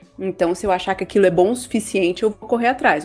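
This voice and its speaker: Amid noticeable background noise, a woman speaks at a very fast pace with a medium pitch. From Brazil, Guarulhos, São Paulo. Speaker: podcast host. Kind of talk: scripted narration.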